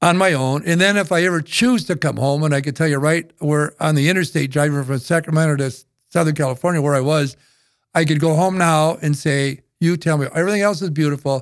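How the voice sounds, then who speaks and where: In a very clean recording with a silent background, a man with an Upper Midwest accent speaks quite quickly at a fairly high pitch with ordinary pitch variation. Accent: Upper Midwest American. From northeastern South Dakota. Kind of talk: interview storytelling. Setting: studio.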